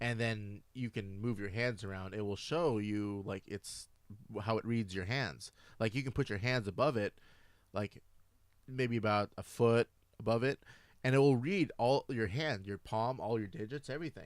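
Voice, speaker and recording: In a plain, everyday voice, a man speaks at a moderate pace and medium pitch with ordinary pitch variation, on a very clean recording with a silent background. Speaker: gaming talk radio co-host. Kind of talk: casual talk radio conversation about games.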